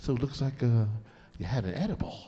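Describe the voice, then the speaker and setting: A dark, mellow tone at a very fast pace. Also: man. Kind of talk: casual chat, storytelling. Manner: loud; animated.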